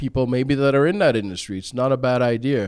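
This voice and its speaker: His pitch sits in the medium range and varies in an ordinary way as this man talks. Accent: Canadian. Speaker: company founder and CEO. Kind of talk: interview. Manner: loud; hesitant, many fillers.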